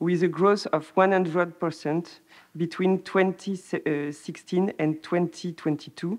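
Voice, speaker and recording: A woman at a fairly slow pace, fairly low in pitch, with monotone, flat intonation over a quiet background. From France. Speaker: research analyst. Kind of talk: conference talk. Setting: conference. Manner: halting.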